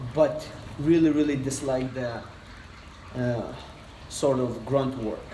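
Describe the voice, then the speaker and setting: In a Lithuanian accent, a man talks at a very slow pace with a medium pitch, monotone, flat intonation and long, frequent pauses, amid audible room echo and noticeable background noise. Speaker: personal trainer. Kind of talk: casual interview chat. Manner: hesitant, many fillers.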